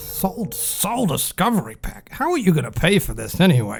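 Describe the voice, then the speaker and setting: A put-on character voice from a man, high-pitched for a man, at a moderate pace. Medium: audio drama. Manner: blunt, sardonic.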